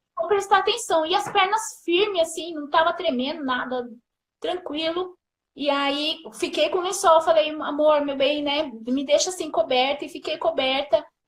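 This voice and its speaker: At a moderate pace, a woman speaks with an extremely high pitch and ordinary pitch variation. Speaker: mother telling her birth story. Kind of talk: testimony. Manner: emotional.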